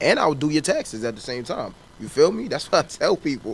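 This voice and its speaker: Noticeable background noise accompanies a man who talks very fast. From US Northeast, Harlem, New York. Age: 20s. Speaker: rapper. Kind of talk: interview.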